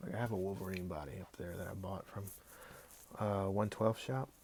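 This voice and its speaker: Mumbling at a very fast pace, a man with a fairly low pitch and ordinary pitch variation shows vocal fry. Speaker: action figure customizer. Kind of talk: casual livestream chat while working. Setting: Instagram live stream.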